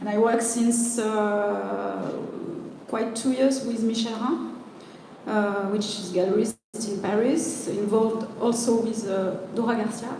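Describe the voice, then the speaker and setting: A woman in a French accent, fairly high-pitched, fairly slow and fairly even in intonation, with audible room echo and noticeable background noise. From France. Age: 40s. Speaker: performance artist. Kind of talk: panel discussion. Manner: halting.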